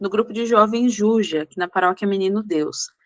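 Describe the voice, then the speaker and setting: A woman with a plain, everyday voice speaks at a medium pitch with fairly even intonation, the sound dry and close with no echo. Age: 20s. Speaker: youth ministry lay advisor. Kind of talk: podcast interview, personal testimony.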